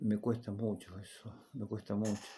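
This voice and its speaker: Here a man is speaking. His pace is very slow. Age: 60s. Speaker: Bible teacher. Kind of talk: lecture; personal testimony. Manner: halting.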